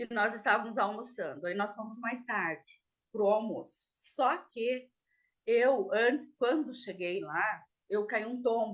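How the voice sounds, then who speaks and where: This woman's pitch is fairly high and varies in an ordinary way. She talks at a very slow pace. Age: 60s. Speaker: defendant. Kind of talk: testimony. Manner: halting.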